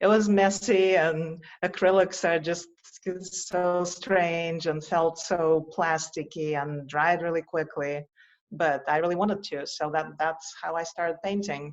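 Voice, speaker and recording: In a Russian accent, a woman speaks at a fairly low pitch. Her pace is fairly slow and her intonation fairly even. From Russia, Moscow. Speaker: visionary artist. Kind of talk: interview conversation.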